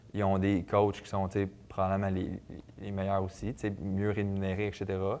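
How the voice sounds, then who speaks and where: Speaking in a Quebec accent, a man keeps a moderate pace. His intonation is monotone and flat, and the background is quiet. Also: fairly low pitch for a man. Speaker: professional football player. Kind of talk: TV sports interview. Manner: hesitant, many fillers and repetitions.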